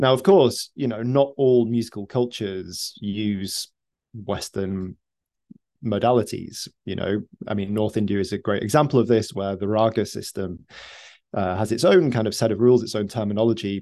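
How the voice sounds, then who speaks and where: Over a quiet background, a man with a British accent speaks at a moderate pace. His voice is fairly low in pitch, with a dark, mellow tone and ordinary pitch variation. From United Kingdom. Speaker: music professor and musician. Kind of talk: interview answers. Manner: hesitant, thoughtful, many fillers.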